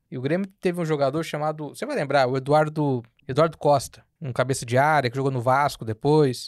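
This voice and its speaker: An unremarkable speaking voice, fairly quick and hardly pausing, with fairly even intonation on a very clean recording with a silent background. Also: man, fairly high pitch for a man. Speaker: podcast host, journalist. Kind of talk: casual interview chat.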